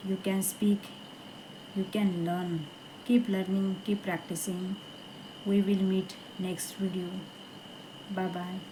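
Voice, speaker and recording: A woman with a non-native accent speaks at a very slow pace and medium pitch, monotone and flat, with long, frequent pauses. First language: not English. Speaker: English learner vlogger. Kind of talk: casual vlog monologue. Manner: halting, many hesitations and repeats.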